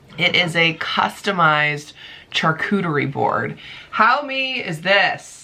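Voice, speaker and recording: Fairly slow, raspy delivery in a put-on character voice. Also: woman, fairly low pitch for a woman. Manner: excited, loud.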